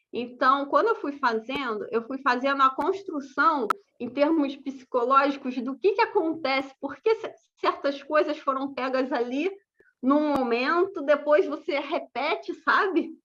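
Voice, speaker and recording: A woman speaks fairly slowly in a high, bright and sharp voice with lively intonation. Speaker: landscape architect giving a talk. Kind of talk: lecture.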